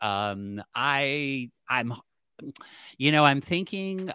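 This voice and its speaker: A medium-pitched man speaks with an American accent and lively intonation. The recording is very clean with a silent background and a dry, close sound with no echo. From Cleveland, Ohio. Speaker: podcast host. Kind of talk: casual interview chat.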